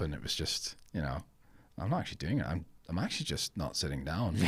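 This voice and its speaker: A man's very deep, low voice with vocal fry and fairly even intonation at a fairly quick pace, in a very clean recording with a silent background. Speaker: filmmaker. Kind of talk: podcast interview. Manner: hesitant, many fillers.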